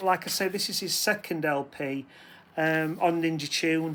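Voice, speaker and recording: On a very clean recording with a silent background, a man with a British accent speaks high in pitch with ordinary pitch variation. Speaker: record collector vlogger. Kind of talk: casual talk to camera. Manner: halting, many fillers; self-deprecating, hesitant.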